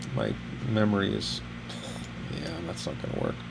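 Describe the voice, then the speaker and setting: Noticeable background noise sits behind a man speaking at a fairly low pitch with ordinary pitch variation. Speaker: architectural photographer. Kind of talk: tutorial.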